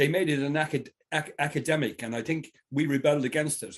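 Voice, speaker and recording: Against a quiet background, a man with a Tipperary accent speaks in a fairly high voice at a fairly quick pace. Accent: Irish, Tipperary. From Ireland, County Tipperary. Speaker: fly fisherman. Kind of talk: casual chat.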